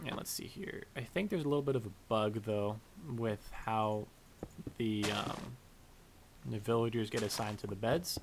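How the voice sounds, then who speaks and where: A man speaks with long, frequent pauses. There is noticeable background noise. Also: medium pitch for a man, ordinary pitch variation, moderate pace. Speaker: gaming youtuber. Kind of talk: let's play commentary. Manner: casual, lots of fillers.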